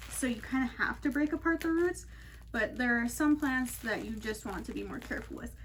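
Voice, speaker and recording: Noticeable background noise sits behind this recording. A soft-spoken woman talks. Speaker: plant care video host. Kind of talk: tutorial.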